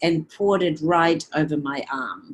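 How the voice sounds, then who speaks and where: A woman is the speaker. Her voice sits fairly low in pitch. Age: 70s. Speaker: network marketing distributor. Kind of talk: testimony.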